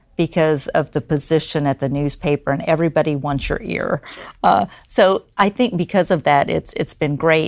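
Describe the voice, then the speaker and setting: The voice shows ordinary pitch variation. The sound is dry and close, with no echo. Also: woman. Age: 50s. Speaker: newspaper publisher. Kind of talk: interview. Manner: hesitant, many fillers.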